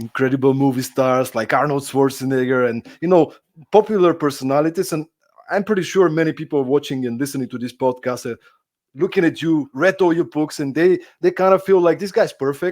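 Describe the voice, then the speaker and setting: A man with a Bulgarian accent speaks at a fairly quick pace in a fairly high voice with ordinary pitch variation. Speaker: podcast host. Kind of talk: interview. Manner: halting.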